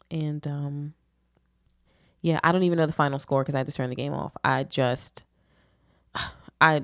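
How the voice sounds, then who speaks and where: The speaker, with an American accent, talks at a moderate pace in a monotone, flat intonation, leaving long, frequent pauses, in a dry, close sound with no echo. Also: woman, very deep, low pitch for a woman. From Philadelphia, US. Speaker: podcast host. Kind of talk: casual chat. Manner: casual, profane.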